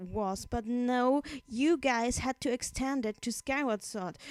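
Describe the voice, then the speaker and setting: Dry and close with no echo, the recording carries a woman's high-pitched voice, dark and mellow in tone, with ordinary pitch variation. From Austria. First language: German. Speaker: video blogger. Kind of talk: angry rant. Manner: halting, many self-corrections; animated.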